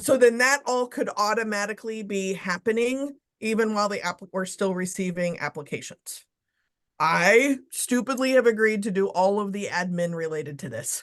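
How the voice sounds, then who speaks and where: A woman uses a normal speaking voice at a medium pitch and moderate pace, with ordinary pitch variation and a quiet background. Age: 40s. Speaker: search committee chair. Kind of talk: business meeting. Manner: casual.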